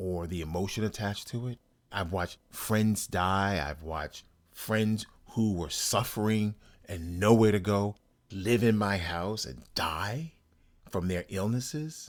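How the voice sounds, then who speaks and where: In a very clean recording with a silent background, a man has a normal speaking voice, fairly low in pitch with ordinary pitch variation, and talks at a fairly slow pace. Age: 60s. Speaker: writer and podcast host. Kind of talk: personal monologue.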